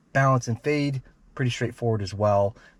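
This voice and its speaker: Somewhat breathy, a man's voice comes through dry and close with no echo on a very clean recording with a silent background. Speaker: car audio reviewer. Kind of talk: product demo walkthrough. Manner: casual with frequent fillers.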